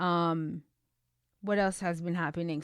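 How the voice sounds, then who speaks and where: A woman speaks in a fairly low voice with ordinary pitch variation, recorded dry and close with no echo. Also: very clean recording, silent background. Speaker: podcast host. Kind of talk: casual personal update. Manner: halting, stumbles on words.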